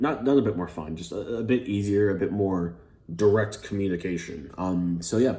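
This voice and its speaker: Fairly low-pitched male voice, dark and mellow in tone, with an American accent and audible room echo. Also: ordinary pitch variation, moderate pace. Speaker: gaming YouTuber. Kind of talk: casual vlog talk. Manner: hesitant, many fillers.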